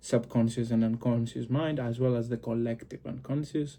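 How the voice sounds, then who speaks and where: A man with a Greek accent has a dark, mellow tone at a medium pitch. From Greece. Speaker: occult and psychology video creator. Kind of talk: explanatory monologue to camera. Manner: halting, many fillers.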